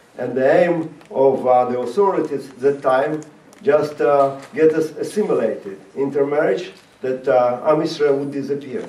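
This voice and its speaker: Fairly high-pitched male voice with ordinary pitch variation, audible room echo and noticeable background noise. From Latvia (Riga). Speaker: rabbi and former Soviet prisoner. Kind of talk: talk to an audience. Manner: halting.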